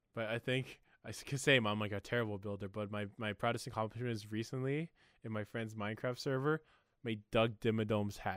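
In an ordinary speaking voice, a man talks at a fairly quick pace with medium pitch and fairly even intonation, recorded very cleanly with a silent background and a dry, close sound with no echo. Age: 20s. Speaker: podcast host. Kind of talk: casual chat.

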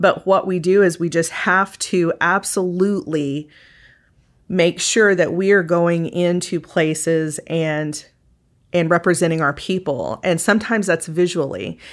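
Fairly slow and fairly low in pitch, a woman with an American accent speaks in a normal speaking voice with fairly even intonation, in a very clean recording with a silent background. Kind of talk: interview conversation.

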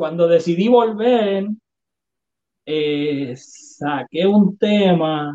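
A high-pitched man talks very slowly with lively intonation. He leaves long, frequent pauses. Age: 30s. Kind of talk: interview testimony.

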